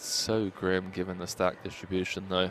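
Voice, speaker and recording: Music plays behind a man whose very deep, low voice moves at a fairly slow pace. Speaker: poker commentator. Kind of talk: live commentary. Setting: commentary booth.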